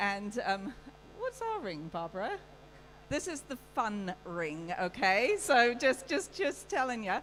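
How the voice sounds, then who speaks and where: Her voice is high-pitched, with a British accent, very wide pitch swings and a very slow pace. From UK. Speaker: livestock show judge. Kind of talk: welcome speech.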